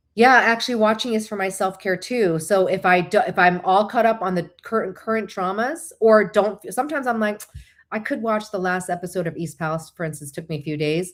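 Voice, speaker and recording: In an American accent, a woman with a medium pitch speaks at a fairly quick pace with ordinary pitch variation on a very clean recording with a silent background. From Northern Virginia, US. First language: Korean. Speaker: livestream host, licensed therapist. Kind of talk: casual live stream chat. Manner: chatty, self-correcting.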